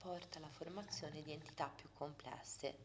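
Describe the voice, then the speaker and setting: Soft-spoken, a woman with a very deep, low pitch and vocal fry speaks at a moderate pace with ordinary pitch variation. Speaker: ASMR creator. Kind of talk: ASMR book reading.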